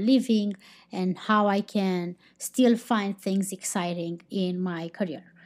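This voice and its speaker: In a Romanian accent, a woman talks at a medium pitch with fairly even intonation on a very clean recording with a silent background. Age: 30s. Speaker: podcast host. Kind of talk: casual podcast monologue. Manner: halting, unscripted.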